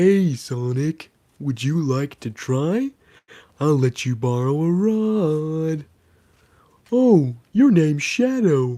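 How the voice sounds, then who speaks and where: Someone uses a put-on character voice at a middle pitch. The delivery is very slow, with long, frequent pauses. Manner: slow, friendly.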